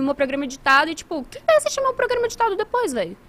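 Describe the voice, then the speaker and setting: A woman speaks over noticeable background noise. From Brazil, moved from Italy at age one. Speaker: gaming marketing professional and show host. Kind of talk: casual chat. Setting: live stream studio. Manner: fast.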